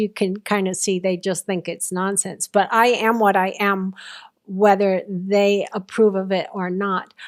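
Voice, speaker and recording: At a moderate pace, a woman talks in a normal speaking voice with a medium pitch. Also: very clean recording, silent background. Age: 60s. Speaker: near-death experiencer. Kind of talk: interview testimony.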